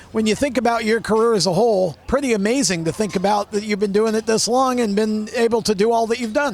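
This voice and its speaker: Speaking at a very fast pace, a man with a high pitch keeps his loudness very even, with ordinary pitch variation and noticeable background noise behind him. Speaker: motorsport interviewer. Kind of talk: pit-area interview questions. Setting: outdoors.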